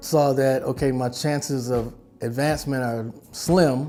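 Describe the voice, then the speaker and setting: A man at a very slow pace with fairly even intonation, music playing in the background. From Milwaukee. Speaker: retired teacher. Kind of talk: interview answer.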